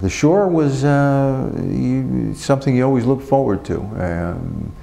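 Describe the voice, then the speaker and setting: Over noticeable background noise, a man in a New Jersey accent speaks with very wide pitch swings. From New Jersey, Passaic. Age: 60s. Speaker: prisoner. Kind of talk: interview. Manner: halting.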